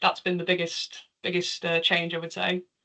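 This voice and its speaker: A bright, sharp tone with a slight Liverpool accent. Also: woman. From northern England, Liverpool. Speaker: charity volunteer and developer presenter. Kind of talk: Q&A after a talk.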